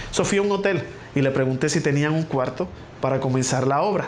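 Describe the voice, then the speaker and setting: The speaker has a Puerto Rican accent and a fairly quick pace. The recording carries audible room echo and noticeable background noise. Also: man. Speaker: pastor. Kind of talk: testimony.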